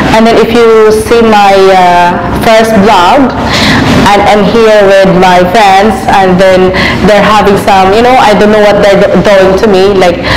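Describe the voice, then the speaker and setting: Over noticeable background noise, a woman talks fairly slowly in a flat, monotone voice of very even loudness. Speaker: vlogger. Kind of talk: casual vlog chat. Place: cafe. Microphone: lapel.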